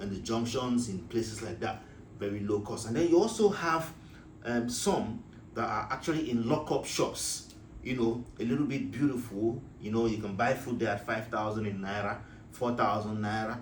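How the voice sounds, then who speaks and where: Audible room echo surrounds a man speaking at a medium pitch. He talks at a fairly quick pace with ordinary pitch variation. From Nigeria. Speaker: business advice vlogger. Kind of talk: casual talk to camera. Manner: halting, many fillers.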